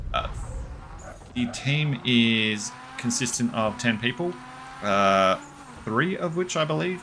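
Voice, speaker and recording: Over noticeable background noise, a man with a medium pitch talks at a very slow pace, with long, frequent pauses. His intonation is lively. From Australia. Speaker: gaming streamer. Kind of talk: live gameplay commentary. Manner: casual, with filler sounds.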